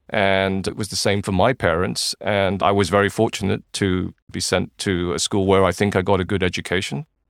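A man's very deep, low voice at a moderate pace, fairly even in intonation and with hardly any pauses, dry and close with no echo in a very clean recording with a silent background. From Malaysia. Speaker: financial journalist and editor. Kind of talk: interview.

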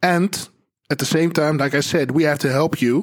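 Here a man with a Dutch accent has a fairly high pitch. His intonation is fairly even and his pace moderate. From Netherlands, Amstelveen. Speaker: podcast host, advertising agency owner. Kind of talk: live panel discussion. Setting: theater hall with live audience.

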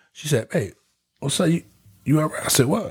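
A man speaks at a moderate pace in a fairly high pitch, with some vocal fry. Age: 40s. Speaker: podcast co-host. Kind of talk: casual chat.

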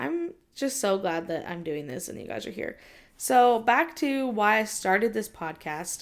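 A woman with a Californian accent speaks at a fairly slow pace, her pitch swinging very widely and her loudness rising and falling a lot. The recording is very clean, with a silent background. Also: medium pitch for a woman. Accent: Californian American English. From Southern California. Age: 20s. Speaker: podcast host. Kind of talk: casual solo talk. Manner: casual, many fillers (um, like).

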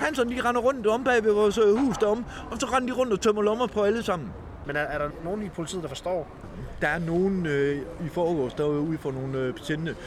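Over noticeable background noise, a man talks in a high voice with very wide pitch swings. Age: 50s. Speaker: homeless man. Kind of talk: interview testimony.

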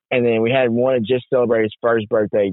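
The recording has a dry, close sound with no echo, carrying a man's fairly low-pitched voice.

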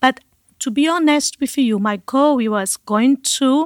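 A woman with a Brazilian accent and ordinary pitch variation, in a dry, close sound with no echo. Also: very clean recording, silent background. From Brazil, Manaus (Amazon). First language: Portuguese. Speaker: missionary, ministry leader. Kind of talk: testimony. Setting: studio.

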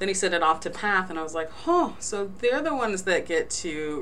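A woman with an American accent talks at a moderate pace with ordinary pitch variation, over noticeable background noise and audible room echo. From New Jersey. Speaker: forensic pathologist. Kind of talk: interview.

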